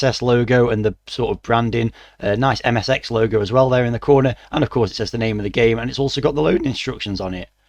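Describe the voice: A man talks at a fast pace and medium pitch, with ordinary pitch variation.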